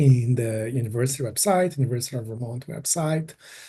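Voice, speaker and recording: Speaking at a moderate pace with a Brazilian Portuguese accent, a man has a dark, mellow tone that is somewhat breathy. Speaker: environmental engineering PhD. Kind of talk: casual interview. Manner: halting.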